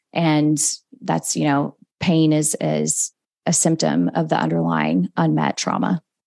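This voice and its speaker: A woman's very deep, low voice with a dark, mellow tone, very wide pitch swings, a fairly slow pace and very even loudness. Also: dry, close sound with no echo. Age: 40s. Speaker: biotech company CEO. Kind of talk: interview conversation.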